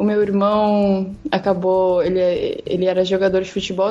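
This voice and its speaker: The voice is a woman's, medium in pitch. She speaks in a flat monotone. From southern Brazil (Rio Grande do Sul). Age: 20s. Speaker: portrait photographer. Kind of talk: casual chat.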